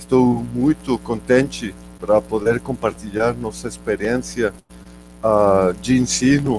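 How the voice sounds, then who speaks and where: A man speaks very slowly with a Spanish accent. Music plays in the background. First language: Spanish (speaking Portuguese). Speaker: geology professor. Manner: halting, many fillers.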